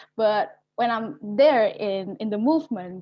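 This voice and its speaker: In an Indonesian accent, a woman speaks at a fairly high pitch with ordinary pitch variation. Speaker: youth climate activist. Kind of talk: webinar panel discussion. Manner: halting.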